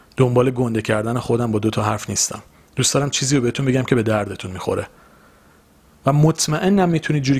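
Somewhat breathy, this man's voice moves at a very fast pace. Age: 20s. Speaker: podcast host. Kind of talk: solo motivational monologue.

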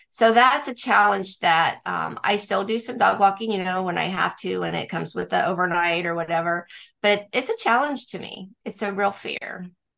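A woman's medium-pitched voice with a bright, sharp tone and vocal fry, at a moderate pace with hardly any pauses, ordinary pitch variation and big swings in loudness. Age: 60s. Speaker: pet sitter and dog walker, business owner. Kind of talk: interview.

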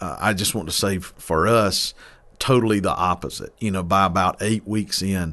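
Against a quiet background, a man with an eastern North Carolina accent speaks at a moderate pace in a fairly low pitch, his tone bright and sharp and his intonation fairly even. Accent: eastern North Carolina Southern US. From eastern North Carolina (Mount Olive). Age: 30s. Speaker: pastor. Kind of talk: casual interview. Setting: studio.

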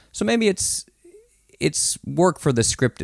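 A man with a Florida accent, dry, close sound with no echo. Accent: American, Florida. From US, Florida. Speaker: TV personality. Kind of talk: casual chat.

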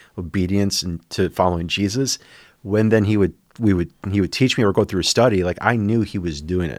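A man with an unremarkable speaking voice and an American accent talks at a fairly quick pace and fairly low pitch with ordinary pitch variation, in a very clean recording with a silent background. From US Midwest. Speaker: senior pastor. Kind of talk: casual chat.

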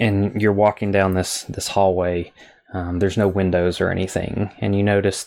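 Simply plain reading aloud

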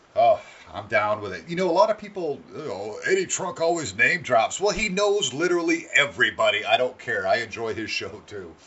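Talking at a fairly quick pace, a man leaves hardly any pauses and swings widely in loudness. Noticeable background noise runs underneath. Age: 40s. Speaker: podcast host. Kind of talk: casual profane banter; radio-style show intro patter, punchy teaser rundown. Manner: laughing, joking; brisk, upbeat announcer delivery.

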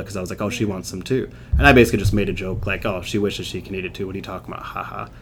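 A man with a fairly low pitch at a very fast pace, his intonation fairly even. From England. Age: 30s. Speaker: vegan bodybuilder, physique athlete. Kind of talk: casual interview.

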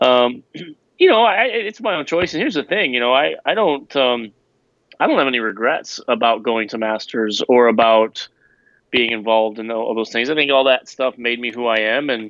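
A man with a normal speaking voice at a medium pitch and a moderate pace. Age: 30s. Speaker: former pastor, author. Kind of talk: casual interview.

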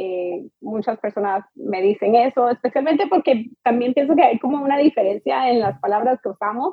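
Lively intonation carries this moderate-paced speech. There are hardly any pauses. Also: woman, high pitch for a woman. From US, Miami Beach, Florida. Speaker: immigration lawyer. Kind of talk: interview.

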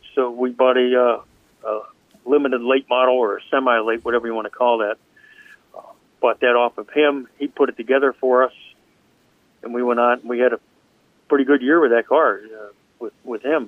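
Delivery is fairly quick yet broken by long, frequent pauses, all in a monotone, flat intonation. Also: man, medium pitch for a man. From Pittsburgh area. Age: 60s. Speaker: race car driver. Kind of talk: interview. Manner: halting.

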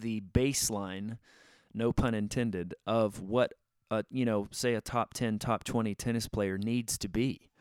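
On a very clean recording with a silent background and a dry, close sound with no echo, a man with a normal speaking voice talks fairly slowly at a medium pitch with ordinary pitch variation. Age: 40s. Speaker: faith podcast host. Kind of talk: solo podcast monologue. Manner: casual, many filler words.

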